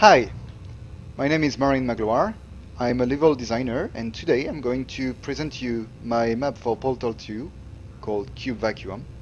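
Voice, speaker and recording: Speaking with a French accent, a man uses medium pitch, ordinary pitch variation and a moderate pace. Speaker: level designer. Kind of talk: tutorial. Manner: halting.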